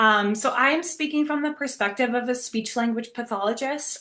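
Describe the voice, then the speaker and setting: A woman's high voice with lively intonation at a fairly quick pace. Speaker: speech language pathologist presenter. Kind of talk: webinar presentation. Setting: video call webinar. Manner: fast talker.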